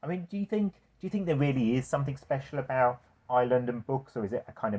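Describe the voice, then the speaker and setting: Against a quiet background, a man with a dark, mellow tone talks at a very fast pace, his pitch swinging very widely. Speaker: bookshop owner and interviewer. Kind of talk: casual interview.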